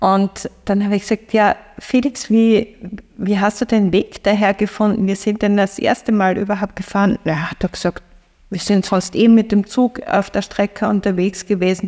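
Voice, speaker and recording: A woman's medium-pitched voice with a Styrian accent and a dark, mellow tone, in a dry, close sound with no echo. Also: fairly even intonation, moderate pace. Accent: Austrian (Styrian) German. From Austria, eastern Styria (Feldbach). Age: 50s. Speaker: sociologist and cycle traveller. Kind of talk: interview storytelling. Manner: hesitant, many fillers.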